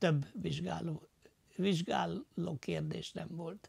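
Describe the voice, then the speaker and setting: A man speaks at a very slow pace. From Losonc, Upper Hungary (southern Slovakia); Upper Hungary. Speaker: war veteran, former prisoner of war; interviewee. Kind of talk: testimony interview. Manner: halting, many filler sounds. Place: home room. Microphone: lapel.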